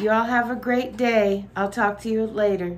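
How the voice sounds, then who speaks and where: A woman with a Southern US accent over light background noise. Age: 50s. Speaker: vlogger housewife. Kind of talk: casual vlog. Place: home room.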